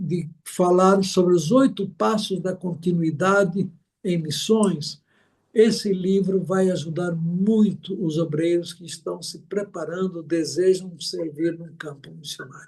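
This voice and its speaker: A man speaks at a very slow pace in a high voice, his intonation fairly even while his loudness swings widely. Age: 70s. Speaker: missionary pastor. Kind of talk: interview.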